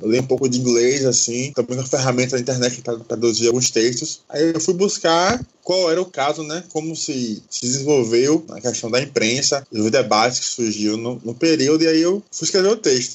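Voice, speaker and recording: At a moderate pace with hardly any pauses, a man with an ordinary speaking voice talks at a medium pitch with ordinary pitch variation. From Brazil, Salvador (Bahia). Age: 30s. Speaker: history graduate and activist. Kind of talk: podcast discussion.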